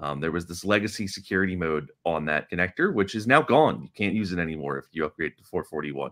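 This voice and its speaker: Medium speed, male speaker. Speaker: podcast host. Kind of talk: casual technical chat. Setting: video call.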